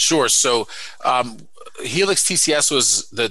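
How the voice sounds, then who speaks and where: A man with an American accent, a bright, sharp tone and ordinary pitch variation. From New York City (Brooklyn and Queens). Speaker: company CEO and former soldier. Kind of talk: interview.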